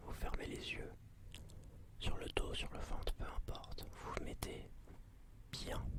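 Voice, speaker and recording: A man is whispering at a very slow pace. Background noise is noticeable. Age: 20s. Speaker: ASMR creator. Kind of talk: ASMR channel introduction. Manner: whispered.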